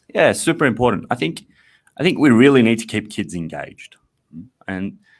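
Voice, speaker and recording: Speaking with an Australian accent, a man uses lively intonation at a medium pitch. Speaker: math education company representative. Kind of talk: casual interview.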